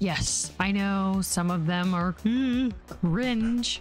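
Clear music plays behind a woman whose speech has ordinary pitch variation and a dry sound with no echo. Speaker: content creator. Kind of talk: casual talk to camera. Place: home room. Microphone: studio mic.

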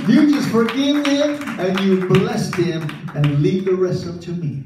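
With audible room echo and light background noise, a man talks at a fairly slow pace. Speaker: preacher. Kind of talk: sermon. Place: church.

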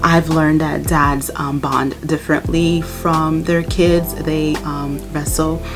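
Clear music plays in the background as a woman with a very deep, low pitch speaks at a very slow pace with hardly any pauses. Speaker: mom vlogger. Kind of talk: casual talk to camera. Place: home room.

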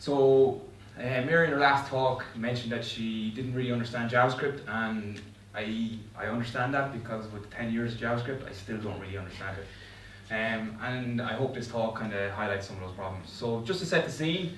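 A man at a fairly quick pace with ordinary pitch variation, audible room echo and light background noise. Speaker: conference speaker. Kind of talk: tech talk. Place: meeting room.

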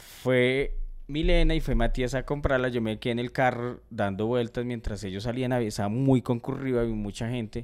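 A man has an unremarkable speaking voice at a medium pitch. His intonation is fairly even, over a quiet background. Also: moderate pace. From Colombia. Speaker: comedy podcast host. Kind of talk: casual chat. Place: home room. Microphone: studio mic.

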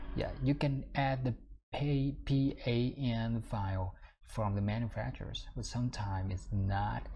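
A man speaks at a very slow pace in a somewhat breathy voice. Light background noise can be heard. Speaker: software tutor. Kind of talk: tutorial. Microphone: webcam.

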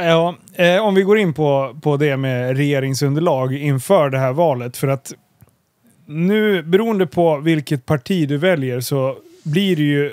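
Fairly slow delivery in a normal speaking voice, with ordinary pitch variation. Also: man, fairly high pitch for a man. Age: 30s. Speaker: podcast host. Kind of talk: casual interview.

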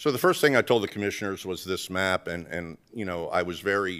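The speaker is a man. His pitch variation is ordinary. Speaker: presenter. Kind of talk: presentation to board. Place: meeting room. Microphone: podium.

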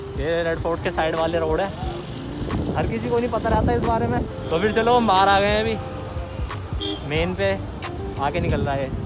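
The speaking pace is moderate. Clear music can be heard behind it. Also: man. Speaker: vlogger. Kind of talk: casual vlog chat. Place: street. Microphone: phone near.

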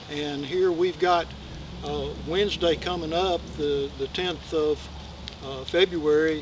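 Over noticeable background noise, a man speaks fairly slowly in a monotone, flat way, with a dry sound and no echo. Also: fairly high pitch for a man. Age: 60s. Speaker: channel host. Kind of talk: casual vlog update. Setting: outdoors in the woods. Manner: halting, with many fillers. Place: forest. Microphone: camera far.

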